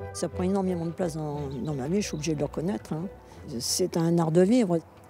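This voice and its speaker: A woman's fairly low, lively voice at a fairly quick pace with music in the background. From Paris. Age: 80s+. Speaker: senior sprinter. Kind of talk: interview.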